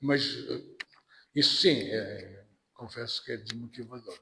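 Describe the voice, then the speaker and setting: Here a man is speaking. His pace is very slow. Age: 60s. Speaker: anthropology professor. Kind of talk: podcast interview. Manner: halting.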